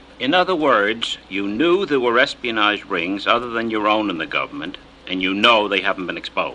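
Noticeable background noise sits behind a man with a medium pitch and lively intonation. He talks at a fairly quick pace. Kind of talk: formal questioning in hearing.

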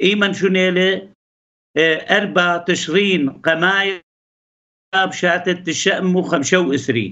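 In a quiet background, a man speaks at a very slow pace in a high voice with fairly even intonation. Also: very even loudness. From Iraq, Ankawa near Erbil; Iraq. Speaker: politician and local historian; politician. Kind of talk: interview. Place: home room. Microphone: video call.

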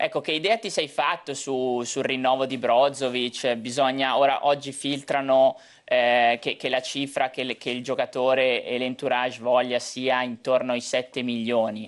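A man speaks at a fairly slow pace. His intonation is monotone and flat, with a quiet background. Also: medium pitch for a man. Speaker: football pundit. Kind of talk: TV football talk show. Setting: TV studio. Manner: halting, repeats words.

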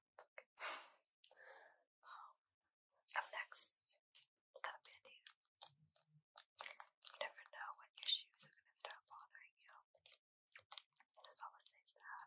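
A woman whispers at a fairly slow pace. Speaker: ASMR creator. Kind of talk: ASMR show-and-tell. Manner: whispered. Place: home room.

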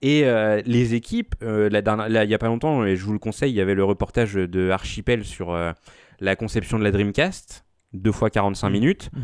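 In a quiet setting, a man with a fairly low pitch and ordinary pitch variation speaks at a moderate pace, the sound dry with no echo. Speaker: podcast host. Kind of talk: casual chat. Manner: animated. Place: home room. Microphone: studio mic.

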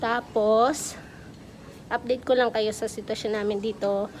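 Over light background noise, a woman speaks at a fairly slow pace in a monotone, flat intonation. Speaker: caregiver vlogger. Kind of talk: casual vlog chat. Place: hall. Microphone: phone near.

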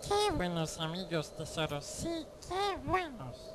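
Amid clear background noise, the speaker uses a put-on character voice at a fairly slow pace. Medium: fan dub. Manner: whining, wheedling, sly.

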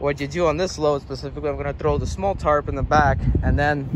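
A man talks at a fairly quick pace. The sound is dry with no echo, and the background noise is loud. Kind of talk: casual tutorial vlog. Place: street.

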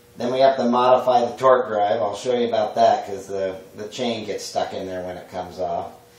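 There is audible room echo around a man speaking. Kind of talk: tutorial. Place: workshop.

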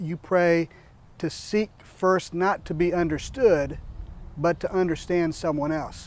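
Speaking at a fairly slow pace, a man with a Midwestern American accent has a high pitch, and the sound is dry with no echo. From US Midwest, southern Iowa. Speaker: podcast co-host; interviewee. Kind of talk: personal introduction monologue; interview answer. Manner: hesitant, many filler words. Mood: warm, reflective. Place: garden. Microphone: lapel.

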